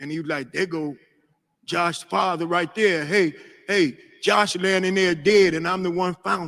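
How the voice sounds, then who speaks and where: A man speaks at a moderate pace with a high pitch and ordinary pitch variation. His tone is bright and sharp. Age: 60s. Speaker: ex gang member. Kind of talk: testimony. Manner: emotional.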